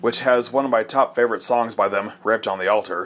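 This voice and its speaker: In a very clean recording with a silent background, a man with a normal speaking voice talks at a fairly quick pace and medium pitch. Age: 30s. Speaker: metal podcast host, album reviewer. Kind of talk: album review monologue.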